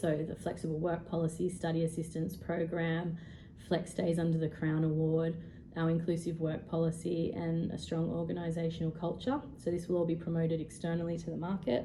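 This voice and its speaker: A woman with an Australian accent talks at a fairly quick pace and a fairly low pitch. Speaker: HR professional. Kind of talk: presentation. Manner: fast; halting with frequent ums.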